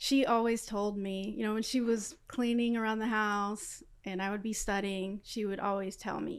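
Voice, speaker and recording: A woman's fairly high voice, a normal speaking voice, at a moderate pace with hardly any pauses and fairly even intonation, on a very clean recording with a silent background. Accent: American. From Los Angeles, South Central. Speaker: aerospace engineer. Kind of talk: interview.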